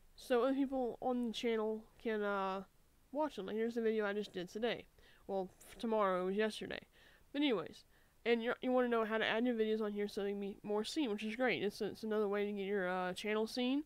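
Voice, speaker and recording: Speaking very fast, a woman keeps a fairly high pitch and fairly even intonation. The sound is dry, with no echo. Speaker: gaming YouTuber. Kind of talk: tutorial screen recording narration. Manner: casual, hesitant with fillers. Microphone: studio mic.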